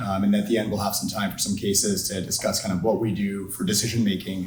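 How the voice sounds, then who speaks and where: A somewhat breathy male voice at a very fast pace, with audible room echo. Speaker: orthopedic surgeon. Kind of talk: lecture.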